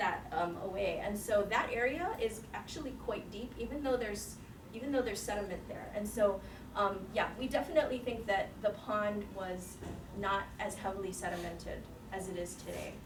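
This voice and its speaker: Through noticeable background noise and audible room echo, a woman speaks at medium pitch with ordinary pitch variation. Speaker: seminar speaker, researcher. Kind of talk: Q&A after a scientific seminar. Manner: fast.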